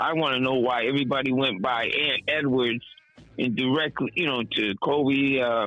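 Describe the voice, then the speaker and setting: Over noticeable background noise, a man with a Boston accent speaks at a moderate pace in a medium pitch. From Boston, Massachusetts. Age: 70s. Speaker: caller. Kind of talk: voicemail message. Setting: phone call.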